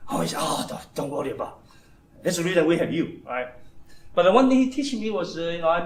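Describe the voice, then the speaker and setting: A man's fairly quick speech rings with audible room echo. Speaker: engineering manager giving a talk. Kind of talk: informal talk to an audience. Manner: fast; halting, repetitive.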